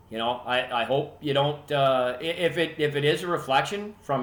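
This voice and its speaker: A man with a Canadian accent talks in a fairly high pitch, with ordinary pitch variation. It is an unremarkable speaking voice. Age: 60s. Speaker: hockey podcast host. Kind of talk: casual monologue.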